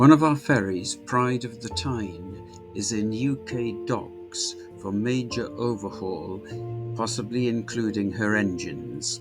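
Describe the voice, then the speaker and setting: Music plays in the background as a man with a medium pitch talks at a very slow pace with ordinary pitch variation. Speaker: ship spotter and video maker. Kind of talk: documentary voice-over narration.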